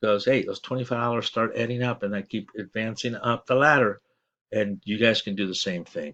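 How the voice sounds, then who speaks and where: This man's voice sits at a medium pitch, with fairly even intonation and a bright, sharp tone. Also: fairly quick pace. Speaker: online marketing promoter. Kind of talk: sales pitch. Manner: mumbling, stuttering; halting.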